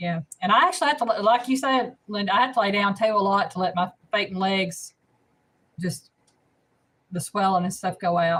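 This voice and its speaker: Using a Southern US accent, a woman talks at a moderate pace and medium pitch with ordinary pitch variation and long, frequent pauses. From US South, north Alabama. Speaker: cooking channel host. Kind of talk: casual live stream chat. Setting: live stream.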